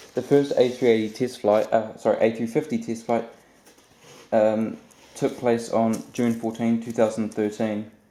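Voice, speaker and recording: Here a man talks at medium pitch and a moderate pace. His tone is dark and mellow, his intonation monotone and flat. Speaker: aviation model reviewer. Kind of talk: unboxing review. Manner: halting, many fillers and stutters; casual.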